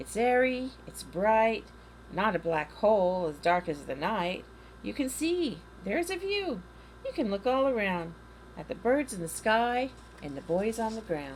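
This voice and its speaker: Over clear background noise, a female-sounding put-on character voice speaks at medium pitch and a moderate pace. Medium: read story.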